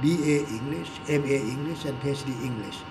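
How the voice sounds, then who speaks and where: A man with a Thai accent speaks amid audible room echo and noticeable background noise. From Thailand. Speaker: English teacher and commentator. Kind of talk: talk show commentary. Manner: halting, self-correcting.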